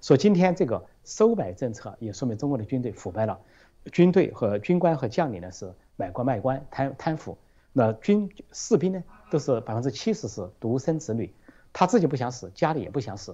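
Against a quiet background, a man with a medium pitch and a dark, mellow tone talks at a fairly quick pace, with very wide pitch swings and big swings in loudness. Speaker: political commentator. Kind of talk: panel discussion. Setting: video call. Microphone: remote Skype line.

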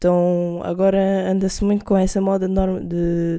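A woman talks with a dark, mellow tone and a fairly low pitch. Her intonation stays fairly even, and the recording is very clean with a silent background. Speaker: podcast co-host. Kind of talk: casual chat.

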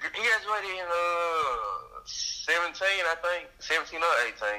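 Over noticeable background noise, a man speaks at a moderate pace with hardly any pauses. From Arkansas, Forrest City. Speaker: podcast guest. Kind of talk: casual chat.

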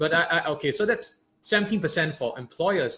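A man's bright, sharp tone. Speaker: podcast co-host. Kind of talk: explainer podcast chat.

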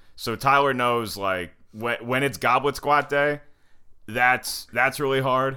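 A man with an American accent speaks very slowly at a medium pitch, his tone bright and sharp and his intonation fairly even. The recording is very clean, with a silent background. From US South, North Carolina. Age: 30s. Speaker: comedian. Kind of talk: casual chat.

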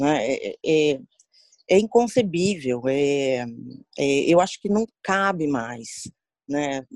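Very slow and broken by long, frequent pauses, a woman's speech sits at a very deep, low pitch yet moves in very wide pitch swings. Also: dry, close sound with no echo. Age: 40s. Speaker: HR professional, psychologist. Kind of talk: interview.

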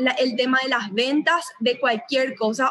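Speaking at a fairly slow pace, a woman has a high-pitched voice with a bright, sharp tone. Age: 20s. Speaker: entrepreneur. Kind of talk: interview.

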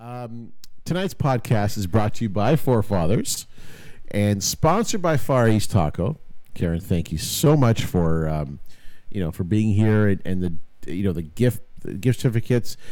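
At a moderate pace, a man speaks with a fairly low, dark, mellow voice. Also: lively intonation. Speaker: podcast host. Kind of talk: casual chat. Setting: studio. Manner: animated.

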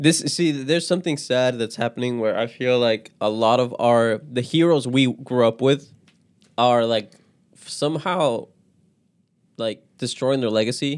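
A man talks at a fairly slow pace. His medium pitch shows ordinary variation. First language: not English. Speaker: podcast co-host. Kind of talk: casual chat.

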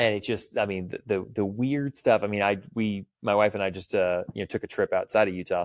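A man's normal speaking voice, fairly low-pitched and fairly quick, with ordinary pitch variation, in a dry, close sound with no echo on a very clean recording with a silent background. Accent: American. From Texas, Clear Lake near Houston. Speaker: firearms and self-defense instructor. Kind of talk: casual interview chat.

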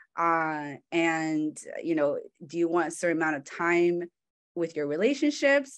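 A woman with a Californian accent, fairly low pitch, lively intonation and a fairly slow pace, against a quiet background. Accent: Californian American English. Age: 20s. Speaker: marketing manager. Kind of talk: talk with slides.

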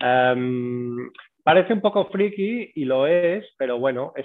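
A man speaks with lively intonation. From Mallorca, Spain. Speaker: breathing and cold exposure instructor. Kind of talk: interview. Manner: hesitant, with many fillers.

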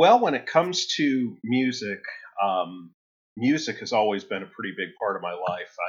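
With a Midwestern US accent, a man talks at a moderate pace in a medium pitch that swings very widely. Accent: US Midwest. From Ohio, Toledo area. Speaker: guitar effects pedal builder. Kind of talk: casual interview.

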